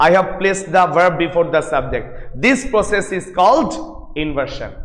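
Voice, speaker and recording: A man speaks loudly in a high pitch, with lively intonation at a moderate pace. Audible room echo and noticeable background noise fill the recording. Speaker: English lecturer. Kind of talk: lecture. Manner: repetitive, emphatic.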